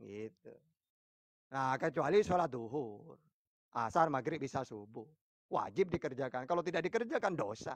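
With a strong East Java accent, a man talks at a moderate pace with lively intonation and long, frequent pauses, the sound dry with no echo and the background quiet. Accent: strong Madurese-tinged East Java. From East Java, Pasuruan. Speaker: Islamic preacher answering questions. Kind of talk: religious debate and Q&A. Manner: firm, forceful-sounding speech. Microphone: phone near.

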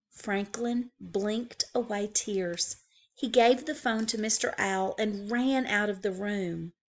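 The reading is done in a natural voice.

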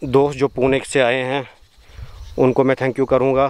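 The sound is dry with no echo as a man speaks at a fairly slow pace. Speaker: travel vlogger on a geology field trip. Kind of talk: casual vlog chat. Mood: relaxed, thankful. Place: open country. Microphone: phone near.

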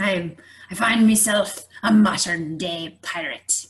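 A woman uses a raspy put-on character voice at a medium pitch. Her intonation stays fairly even and her pace is fairly slow. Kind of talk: comic pirate talk. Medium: comedy sketch. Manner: jaunty, says aye.

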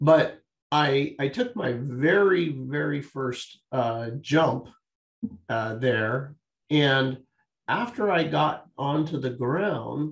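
Over a quiet background, a man speaks at a very slow pace, his somewhat breathy voice showing ordinary pitch variation. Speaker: guest. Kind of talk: interview answer, storytelling. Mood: warm, smiling, anecdotal. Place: home room. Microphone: video call.

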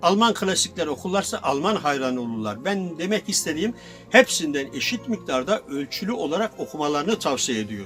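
A man with fairly high pitch and very wide pitch swings, hardly any pauses, music in the background. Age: 70s. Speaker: former secondhand bookseller. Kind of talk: interview answer.

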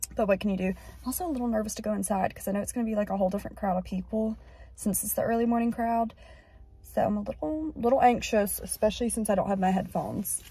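A woman at a very fast pace, the sound dry with no echo. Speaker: vlogger. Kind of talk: casual vlog chat. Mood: slightly anxious, a bit rushed. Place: car. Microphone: phone near.

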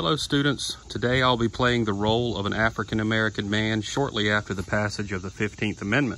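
A man's fairly low voice over light background noise, very fast with hardly any pauses and fairly even intonation. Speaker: teacher acting a historical role. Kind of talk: educational role-play narration. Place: garden.

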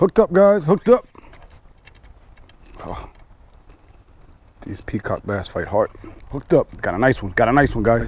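With a slightly husky edge, a man talks at a fairly slow pace, his pitch swinging widely and his speech broken by long, frequent pauses. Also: medium pitch for a man.

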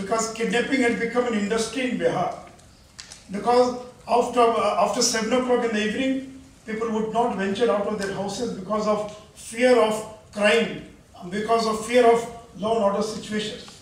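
A man talks in a high pitch at a moderate pace. His intonation is monotone and flat, and room echo is audible. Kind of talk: formal speech to an audience. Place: hall.

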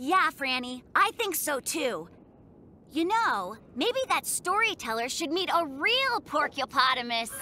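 In a cartoonish character voice, the speaker uses big pitch swings and a bright, sharp tone. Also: fairly slow pace.

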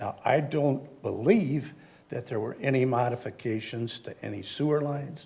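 In a very clean recording with a silent background, a man with an American accent talks at a moderate pace, his medium-pitched voice somewhat breathy with a dark, mellow tone. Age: 70s. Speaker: resident speaking at public comment. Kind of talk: public comment at council meeting. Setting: city council chamber. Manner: halting, many fillers.

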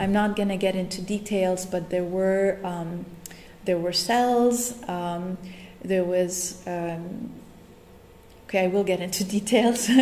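A woman speaks at a very slow pace with long, frequent pauses. Her intonation is fairly even, over light background noise. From Nigeria. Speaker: artist. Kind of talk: lecture. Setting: stage with audience. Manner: casual, hesitant with many fillers. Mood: reflective, somber. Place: meeting room. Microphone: camera far.

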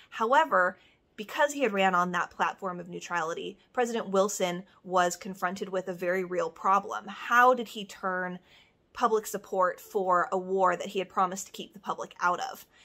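A woman with a bright, sharp tone, ordinary pitch variation and big swings in loudness, at a moderate pace over a quiet background. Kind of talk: educational talk to camera.

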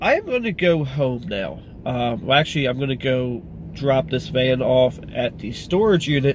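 The voice is a man's. The sound is dry with no echo, over light background noise. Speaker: car vlogger. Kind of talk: casual vlog chat. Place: car. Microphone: phone near.

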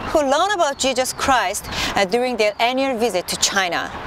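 Over noticeable background noise, a woman with a high-pitched voice speaks at a moderate pace, the sound dry with no echo. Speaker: presenter. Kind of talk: formal presentation to camera. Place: garden.

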